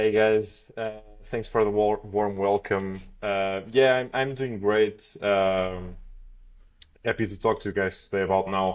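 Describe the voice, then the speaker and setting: A Portuguese accent, a fairly slow pace and fairly even intonation. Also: man, fairly low pitch for a man. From Portugal. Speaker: blockchain developer. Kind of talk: podcast interview. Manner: hesitant, many fillers.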